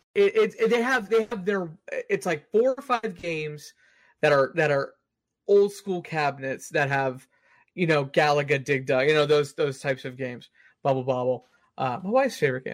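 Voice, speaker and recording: Speaking with a normal speaking voice and an American accent, a man talks at a moderate pace. His pitch is fairly high and his intonation lively, on a very clean recording with a silent background. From Texas, Austin. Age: 30s. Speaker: gaming podcast host. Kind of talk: casual chat.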